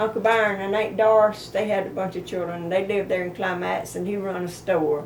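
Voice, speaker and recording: This woman has a Southern US accent and a medium pitch, talking at a fairly quick pace with fairly even intonation and hardly any pauses, amid noticeable background noise and audible room echo. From US South, south Georgia. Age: 80s+. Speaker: elderly relative sharing memories. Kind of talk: casual family interview.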